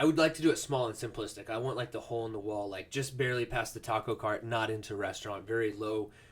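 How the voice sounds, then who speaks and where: Somewhat breathy, a man at medium pitch speaks at a very fast pace with hardly any pauses and ordinary pitch variation. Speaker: podcast host. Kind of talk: casual chat. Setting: home office.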